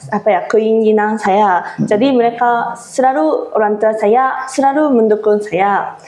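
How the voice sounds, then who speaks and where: Over noticeable background noise, a woman talks fairly slowly with hardly any pauses, very even loudness and ordinary pitch variation. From Japan. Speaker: Japanese exchange teaching assistant. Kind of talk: interview. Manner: halting.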